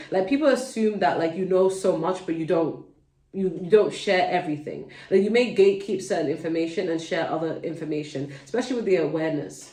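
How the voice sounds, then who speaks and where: The speech comes at a fairly quick pace in a London accent. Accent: London accent, well-spoken. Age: adult, mother. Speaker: tarot reader, channel host. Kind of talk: tarot reading to camera. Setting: at home, kids nearby. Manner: casual, chatty.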